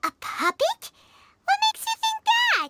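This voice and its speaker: With music in the background, the speaker uses a squeaky, put-on character voice pitched extremely high, at a moderate pace. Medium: video game. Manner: excitable, chatty.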